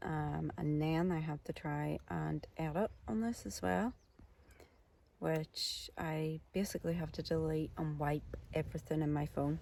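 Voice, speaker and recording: Soft-spoken and at a fairly slow pace, a woman talks in a Northern Irish accent. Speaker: outdoor vlogger. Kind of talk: casual vlog. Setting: outdoors camping in tent. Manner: soft-spoken, low.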